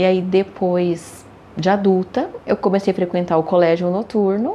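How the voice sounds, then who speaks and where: An unremarkable speaking voice talks at a fairly slow pace. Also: woman. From Brazil, São Paulo (Santo Amaro). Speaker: accountant and interpreter. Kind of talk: interview.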